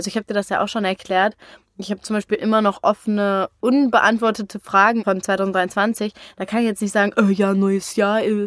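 On a very clean recording with a silent background and a dry, close sound with no echo, a woman speaks at a fairly quick pace in a medium-pitched, monotone, flat voice. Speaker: podcast co-host, daughter. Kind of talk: casual chat.

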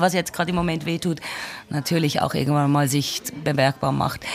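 Noticeable background noise sits under this recording. The woman speaks at a fairly quick pace. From Switzerland, Basel. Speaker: podcast host. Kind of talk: interview. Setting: café.

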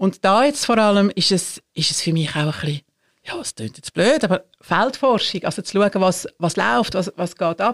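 A woman speaks at medium pitch and a moderate pace, with lively intonation, in an unremarkable speaking voice. The sound is dry and close, with no echo. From Switzerland, Zurich area. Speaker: church executive council president. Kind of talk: casual interview.

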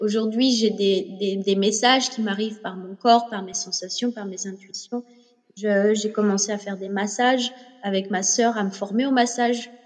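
Over noticeable background noise, a woman of medium pitch speaks at a fairly slow pace with fairly even intonation and big swings in loudness. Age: 30s. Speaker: yoga teacher and former professional horse rider. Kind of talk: interview.

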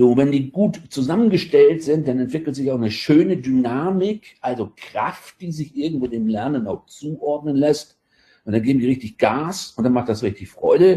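A dark, mellow tone with lively intonation. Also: man, fairly high pitch for a man, moderate pace. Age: 50s. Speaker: adult education lecturer. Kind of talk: casual interview.

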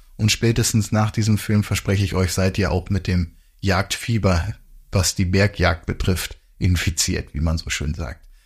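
A somewhat breathy man at a moderate pace, in a very clean recording with a silent background. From northern Germany. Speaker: hunting podcast co-host. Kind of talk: casual chat.

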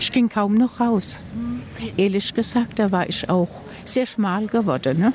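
A woman at a medium pitch, lively in intonation and fairly slow, with noticeable background noise. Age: old. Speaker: food bank client, pensioner. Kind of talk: interview.

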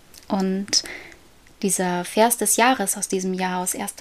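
A fairly slow, medium-pitched woman's voice. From Germany, near Paderborn. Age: 20s. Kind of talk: casual faith conversation. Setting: home, child's bedroom.

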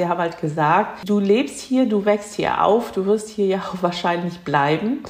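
A woman at a fairly slow pace with ordinary pitch variation, amid audible room echo and noticeable background noise. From Germany, near Cologne. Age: 50s. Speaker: second-generation Korean German interviewee. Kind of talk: interview.

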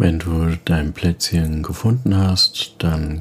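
Noticeable background noise sits behind a man's gentle, soothing tone. He speaks at a very slow pace. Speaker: meditation coach. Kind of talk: guided meditation. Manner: slow, calm, soft-spoken; gentle, soothing, with long pauses.

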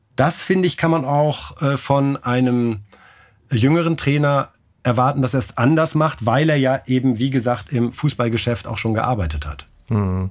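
Here a man talks at a moderate pace and medium pitch, with ordinary pitch variation. It is an unremarkable speaking voice. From northern Germany (Bremen). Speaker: sports journalist, newspaper sports editor. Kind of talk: interview.

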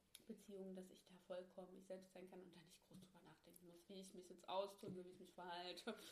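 A woman's voice at a medium pitch. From Thuringia, Germany (Ilmenau). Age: 20s. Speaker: podcast guest, host's best friend. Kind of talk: casual chat. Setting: friend's attic apartment.

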